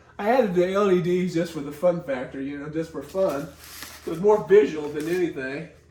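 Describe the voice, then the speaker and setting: Over noticeable background noise, a man talks fairly quickly in a high pitch with ordinary pitch variation. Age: 60s. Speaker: hobbyist builder. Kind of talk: casual talk to camera.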